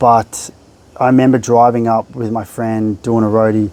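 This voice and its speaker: Over noticeable background noise, a man with an Australian accent speaks at medium pitch with monotone, flat intonation. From Melbourne, Australia. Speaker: therapist. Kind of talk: podcast interview. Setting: house in Bali.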